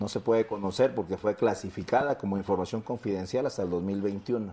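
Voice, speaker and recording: At a moderate pace, a man speaks in a dark, mellow tone at a fairly low pitch with ordinary pitch variation. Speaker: political campaign spokesman. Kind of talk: political debate.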